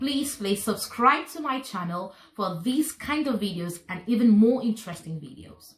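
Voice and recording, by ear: This woman speaks with lively intonation at a medium pitch. Her pace is moderate.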